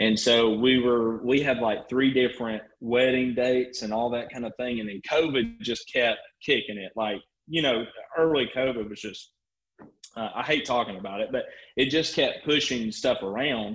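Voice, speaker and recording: Speaking with an American accent, a man keeps a medium pitch and fairly even intonation. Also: moderate pace. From US South, northwest Georgia (Rome). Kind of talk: casual interview chat.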